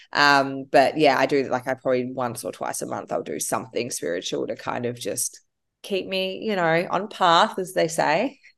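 Speaking in an Australian accent at a moderate pace, a woman with a very deep, low voice and vocal fry makes very wide pitch swings. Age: 30s. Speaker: entrepreneur. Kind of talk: interview.

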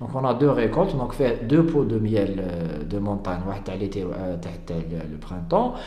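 A man talks at a very slow pace, his pitch swinging very widely. There is noticeable background noise and audible room echo. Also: fairly low pitch for a man. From Algeria. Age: 20s. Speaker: beekeeper and entrepreneur. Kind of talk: interview. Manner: halting.

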